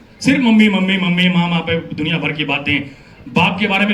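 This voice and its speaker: Through audible room echo and noticeable background noise, a man speaks in a high voice with ordinary pitch variation. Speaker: event anchor, actor and comedian. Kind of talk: live event anchoring with comedy. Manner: animated.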